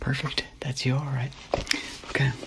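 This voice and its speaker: Noticeable background noise runs behind the recording. Over it, a man speaks softly. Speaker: artist character. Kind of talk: ASMR roleplay. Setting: home studio microphone. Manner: soft-spoken.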